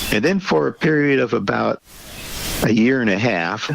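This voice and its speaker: Lively intonation marks a man's moderately paced speech, heard against noticeable background noise. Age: 70s. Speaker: taxidermist and Air Force veteran. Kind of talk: interview on a podcast. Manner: halting, with many fillers.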